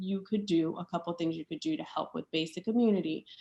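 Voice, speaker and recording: A woman speaks in an ordinary speaking voice at a medium pitch. Her intonation is lively. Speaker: doctor and conference speaker. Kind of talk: conference presentation. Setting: conference session with slides.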